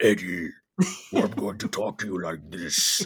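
Using a put-on character voice, a man sounds raspy and menacing, with a fairly low pitch and a moderate pace.

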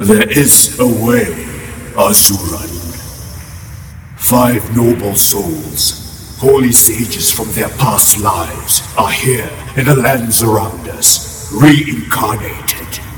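A put-on character voice from a man at a medium pitch and a very slow pace, with clear background noise and clear echo. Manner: solemn, commanding.

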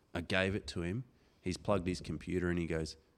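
Flat and monotone in intonation, a man with an Australian accent talks in a very deep, low voice. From Darwin, Northern Territory, Australia. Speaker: motocross club organiser and former racer. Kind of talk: casual chat. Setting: studio.

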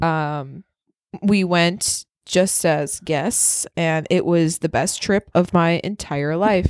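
With a slight northern Midwest US accent, a woman speaks very slowly in fairly even intonation on a very clean, dry, close recording with a silent background and no echo. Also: fairly low pitch for a woman. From Wisconsin. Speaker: podcast co-host. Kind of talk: casual chat.

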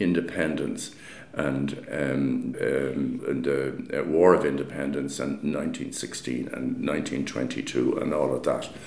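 A man talks with an Irish accent. Audible room echo and noticeable background noise surround him. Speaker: architect. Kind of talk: interview. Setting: meeting room.

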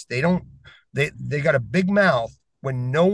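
A man speaks at a moderate pace in a somewhat breathy, animated tone with lively intonation. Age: 40s. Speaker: podcast guest. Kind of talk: casual discussion.

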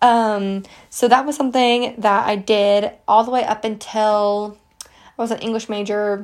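Speaking at a fairly slow pace, a woman with an American accent has a fairly high-pitched voice. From West Virginia, US. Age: 20s. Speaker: podcast host, college student. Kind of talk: casual solo monologue. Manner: animated.

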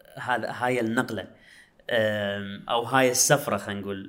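In an Iraqi accent, a man speaks at a fairly slow pace. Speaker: podcast host. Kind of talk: casual interview chat.

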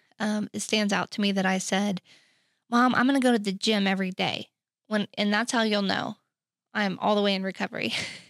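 A woman with an American accent talks at a moderate pace and medium pitch, her intonation monotone and flat. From Oklahoma City. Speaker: recovery ministry worker, former addict. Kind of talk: personal testimony in interview.

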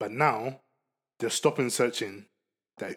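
Speaking with a Ghanaian accent, a man has a medium pitch and ordinary pitch variation. His pace is fairly slow. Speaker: guest. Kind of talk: casual chat.

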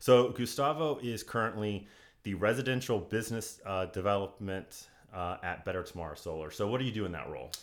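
This man has an unremarkable speaking voice. His pitch is fairly low, with ordinary pitch variation. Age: 30s. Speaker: podcast host. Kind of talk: casual interview. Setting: studio.

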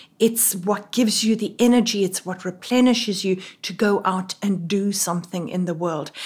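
A woman with a South African accent speaks at a moderate pace, her medium-pitched voice somewhat breathy and her intonation fairly even. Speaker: Anglican priest and doctoral student. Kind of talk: interview, conversational.

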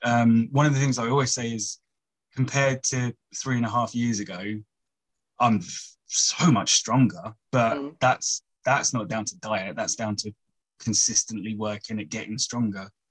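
A plain, everyday voice at a moderate pace, with ordinary pitch variation. The sound is dry and close with no echo, and the background is quiet. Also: man, medium pitch for a man. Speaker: personal trainer. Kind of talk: casual chat, interview. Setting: video call on phone.

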